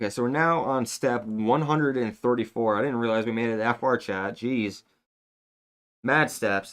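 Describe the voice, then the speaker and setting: Against a quiet background, a man with an American accent speaks at a medium pitch and moderate pace, his intonation fairly even. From Upstate New York. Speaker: live streamer building Lego. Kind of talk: casual live-stream chat. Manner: casual, distracted.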